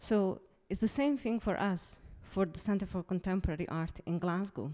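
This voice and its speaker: Speaking at a moderate pace with an Italian accent, a woman has a dark, mellow, medium-pitched voice with ordinary pitch variation, captured in a very clean recording with a silent background. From Italy. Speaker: museum curator. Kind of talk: conference presentation. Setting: stage with audience.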